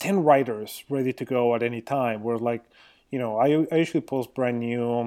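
A man's dark, mellow tone at a moderate pace, with fairly even intonation. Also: very clean recording, silent background. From Mexico. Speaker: graphic designer and design blogger. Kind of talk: interview conversation.

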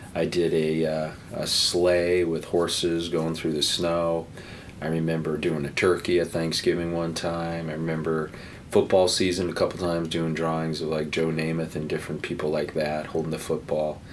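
A man with an American accent, very deep and low in pitch, monotone and flat, at a moderate pace with audible room echo. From New Jersey. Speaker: painter. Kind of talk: casual interview.

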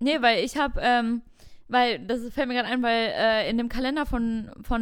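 In a very clean recording with a silent background, a woman uses an ordinary speaking voice, fairly high in pitch, at a moderate pace with fairly even intonation. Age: 20s. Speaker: podcast co-host. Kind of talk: casual chat.

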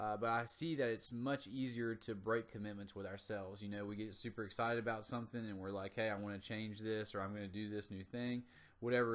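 A man talks at a very fast pace in an American accent. His intonation stays fairly even. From US South, North Carolina. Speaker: motivational podcast host, gym owner. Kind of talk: motivational monologue. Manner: casual.

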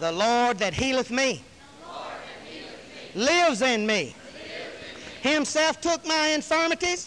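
A raised, projected voice in a Southern US accent swings very widely in pitch and greatly in loudness. Long, frequent pauses come through over noticeable background noise. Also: man, extremely high pitch for a man. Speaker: preacher. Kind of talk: fervent sermon climax, rapid-fire scripture declarations and hallelujahs. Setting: church. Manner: impassioned, rhythmic call-and-response exhortation; emphatic, repetitive shouts of praise.

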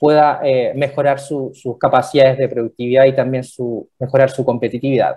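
A man's medium-pitched voice with a Chilean accent, monotone and flat, with hardly any pauses. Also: moderate pace. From Chile, Valparaíso. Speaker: regional director of a public development agency. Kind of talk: radio interview.

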